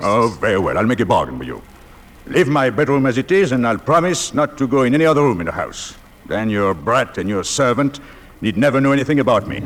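A gruff put-on character voice rattles along at a very fast pace over light background noise. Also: man, medium pitch for a man. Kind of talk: 1940s radio acting. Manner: gruff, blustering, swearing.

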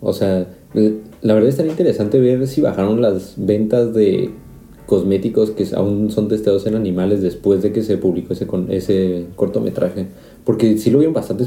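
Speaking at a moderate pace, a man keeps a fairly low pitch, ordinary pitch variation and very even loudness in a dark, mellow tone. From Mexico. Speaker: podcast host, chemical engineering student. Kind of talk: casual chat.

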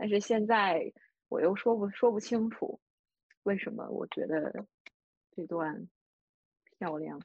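Very slow female speech broken by long, frequent pauses. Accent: northeastern Chinese. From Northeast China. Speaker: podcast co-host, book discussion. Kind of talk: casual book discussion.

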